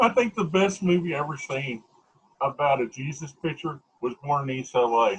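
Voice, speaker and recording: Intonation rises and falls in a lively way. There's a somewhat breathy quality to the voice. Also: man, fairly high pitch for a man, moderate pace. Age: 40s. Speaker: interviewer. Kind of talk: casual chat.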